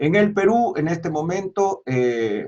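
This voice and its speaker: A man speaks with lively intonation. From Peru. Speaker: pastor. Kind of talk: interview. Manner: hesitant fillers.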